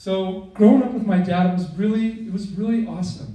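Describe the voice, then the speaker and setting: Loud and fairly slow, a man speaks amid noticeable background noise. Room echo is audible. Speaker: son of the deceased. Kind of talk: eulogy. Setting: memorial service with PA system.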